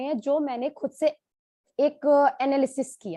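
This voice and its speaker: A woman speaks at a fairly slow pace in a high voice with a dark, mellow tone. The sound is dry and close, with no echo. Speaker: doctor. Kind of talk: testimony.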